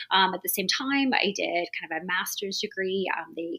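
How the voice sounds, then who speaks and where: The delivery is fairly quick with ordinary pitch variation. Noticeable background noise is present. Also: woman. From UK. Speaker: veterinary dermatologist and professor. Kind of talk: podcast interview.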